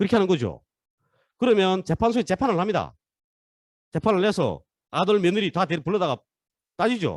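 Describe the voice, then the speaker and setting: At a fairly quick pace and a high pitch, a man speaks with very even loudness and long, frequent pauses in a dry, close sound with no echo. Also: ordinary pitch variation. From North Korea. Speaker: lecturer. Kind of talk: online lecture. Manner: fast.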